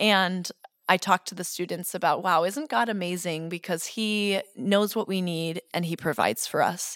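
A woman with an American accent and an unremarkable speaking voice, medium pitch, ordinary pitch variation and a moderate pace, in a dry, close sound with no echo on a very clean recording with a silent background. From Boston suburbs, Massachusetts. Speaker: kindergarten Spanish immersion teacher. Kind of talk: interview.

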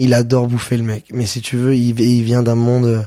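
At a moderate pace, the man talks in a medium pitch with a dark, mellow tone. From southern France, Avignon. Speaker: chef and restaurant owner. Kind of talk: casual interview. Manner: casual, hesitant with fillers.

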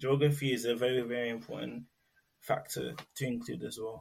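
In a London accent, a man speaks at a moderate pace with ordinary pitch variation and a somewhat breathy voice, in a very clean recording with a silent background. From London, England (Nigerian heritage). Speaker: research assistant and neurodiversity advocate. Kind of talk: interview.

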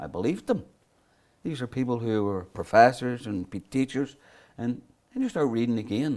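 Pausing long and often, a man with a Belfast accent talks at a medium pitch with ordinary pitch variation. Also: moderate pace. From Northern Ireland, North Belfast. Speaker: author and historian. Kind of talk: interview.

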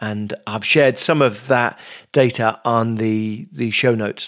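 The speaker has a plain, everyday voice with ordinary pitch variation. The recording is dry and close with no echo. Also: man. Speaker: podcast host. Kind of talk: interview.

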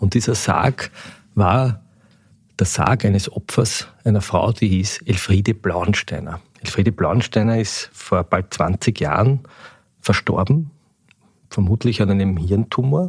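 A man speaks at a very slow pace with long, frequent pauses, his somewhat breathy voice fairly low in pitch, his loudness very even and his pitch variation ordinary. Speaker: newspaper editor-in-chief, podcast host. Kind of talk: interview.

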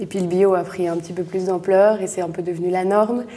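A woman's fairly low voice, fairly quick in pace, with monotone, flat intonation. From Belgium, Brussels. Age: 20s. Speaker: entrepreneur. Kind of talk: interview. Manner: halting.

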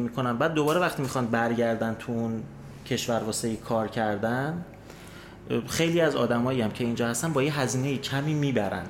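A man talking at a fairly quick pace is heard with audible room echo in the space. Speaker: would-be migrant sharing experience. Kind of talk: casual storytelling.

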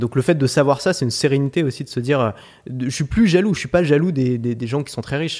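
Speaking at a very fast pace, a man talks at a medium pitch. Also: very clean recording, silent background. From France, Paris. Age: 20s. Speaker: online course entrepreneur. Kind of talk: interview.

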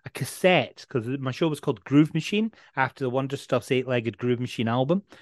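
Here a man speaks at a medium pitch with a Dundee accent. The background is quiet and the sound is dry and close, with no echo. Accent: Scottish (Dundee). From Scotland, Dundee. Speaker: radio presenter. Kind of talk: casual interview.

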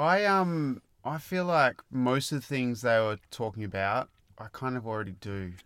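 On a very clean recording with a silent background, a man speaks in an Australian accent. His medium pitch makes very wide swings. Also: moderate pace. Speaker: podcast co-host. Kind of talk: casual chat.

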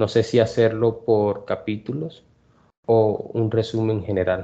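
A man with a fairly low pitch speaks at a very slow pace. His intonation stays fairly even. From Colombia. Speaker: Spanish tutor and podcast host. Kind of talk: language lesson podcast.

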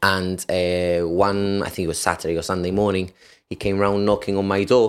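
Speaking at a moderate pace, a man with a Gibraltarian accent has a fairly low pitch. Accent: Gibraltarian (Llanito) English. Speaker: firefighter and personal trainer. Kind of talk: casual interview.

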